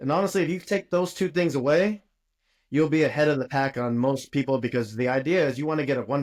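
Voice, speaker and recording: At a very fast pace, a man speaks with ordinary pitch variation in a very clean recording with a silent background. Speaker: dentist and dental educator. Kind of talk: podcast interview.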